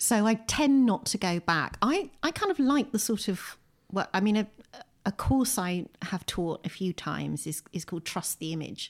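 Very wide pitch swings run through this woman's medium-pitched voice, delivered at a moderate pace in a southern English accent. The recording is very clean with a silent background. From southern England (Windsor, Berkshire). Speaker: poet and author. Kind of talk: casual interview. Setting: at home.

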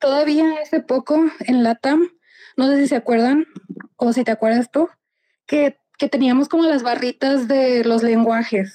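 With a dry, close sound and no echo, a woman speaks fairly slowly in a high pitch with ordinary pitch variation. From Mexico. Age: 20s. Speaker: software developer. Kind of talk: interview.

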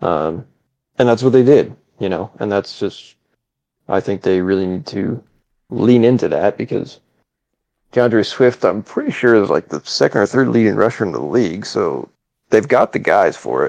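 A man with vocal fry speaks at a fairly low pitch, leaving long, frequent pauses. The sound is dry and close with no echo, and his pitch variation is ordinary. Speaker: sports podcast panelist. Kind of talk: casual chat. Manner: slow.

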